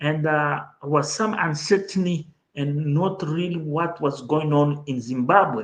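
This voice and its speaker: A man with a Mozambican accent talks at a fairly slow pace. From Mozambique. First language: Portuguese. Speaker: political commentator, channel host. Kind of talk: livestream commentary.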